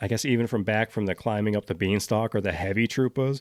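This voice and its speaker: In a very clean recording with a silent background and dry, close sound with no echo, a man speaks at medium pitch with ordinary pitch variation. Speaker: video game podcast host. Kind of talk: casual monologue. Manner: fast; animated.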